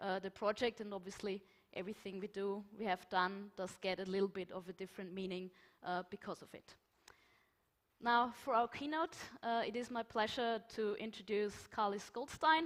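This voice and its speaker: This woman talks at a medium pitch. She speaks in a German accent. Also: ordinary pitch variation, moderate pace, big swings in loudness. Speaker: conference moderator. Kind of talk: conference moderation.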